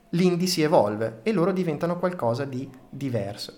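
Male speaker with ordinary pitch variation, audible room echo and noticeable background noise. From Reggio Emilia, northern Italy. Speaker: podcast host. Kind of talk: storytelling podcast monologue.

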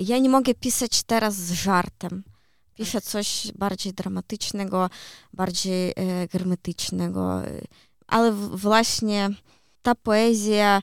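Very slow speech in a Ukrainian accent with long, frequent pauses, on a very clean recording with a silent background and a dry, close sound with no echo. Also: woman. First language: Ukrainian (speaking Polish). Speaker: poet and children's author. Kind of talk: interview. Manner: hesitant, many fillers.

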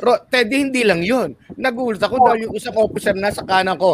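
A man talks in an animated tone at a very fast pace. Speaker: physician. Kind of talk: casual panel discussion.

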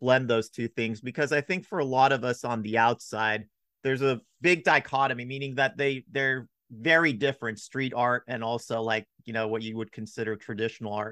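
Against a quiet background, a man with a bright, sharp tone speaks at a medium pitch with ordinary pitch variation, the sound dry and close with no echo. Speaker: podcast host. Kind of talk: podcast interview with sponsor reads. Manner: uses many fillers.

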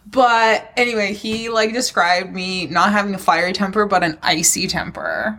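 A woman with a medium-pitched voice talks at a moderate pace with hardly any pauses. Noticeable background noise runs underneath. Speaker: podcast co-host. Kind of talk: casual banter. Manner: animated, irreverent.

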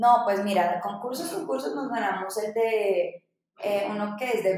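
A woman speaks with an ordinary speaking voice at a medium pitch. She goes at a fairly slow pace with fairly even intonation. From Dominican Republic (born in Bogotá, Colombia). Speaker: startup founder. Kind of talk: interview.

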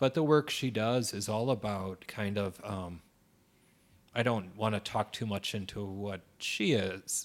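Pitch moves in an ordinary way here. The speaker is a man. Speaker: podcast host. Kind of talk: casual interview conversation.

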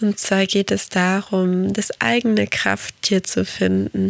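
Speaking very slowly, the woman has a Portuguese accent. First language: Portuguese (speaking German). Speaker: podcast host and meditation guide. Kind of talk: podcast monologue. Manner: soft-spoken.

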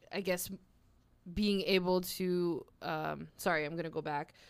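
A woman with a fairly low pitch speaks at a very slow pace in a very clean recording with a silent background. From Nova Scotia, Canada (Halifax). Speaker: activist. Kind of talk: casual conversational interview.

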